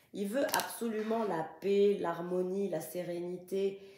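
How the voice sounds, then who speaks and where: A woman with a medium-pitched voice is heard over noticeable background noise, with audible echo from the room. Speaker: tarot card reader. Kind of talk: tarot reading.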